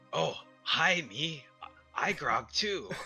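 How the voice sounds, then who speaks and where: A put-on character voice comes through with faint music playing in the background. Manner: simple-minded, broken speech.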